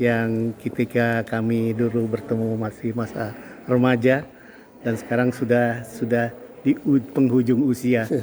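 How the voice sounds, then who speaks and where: Noticeable background noise sits behind a man speaking at a medium pitch. He goes fairly slowly with a monotone, flat intonation. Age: 70s. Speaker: retired professional reminiscing with old friend. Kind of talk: casual interview chat. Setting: Masjid al-Haram, Mecca.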